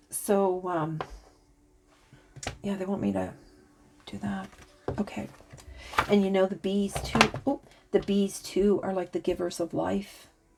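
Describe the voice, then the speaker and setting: Noticeable background noise sits behind a woman's voice. She talks at a fairly slow pace with long, frequent pauses. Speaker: tarot reader and spiritual channeler. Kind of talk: oracle card reading. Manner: halting, stuttering at times.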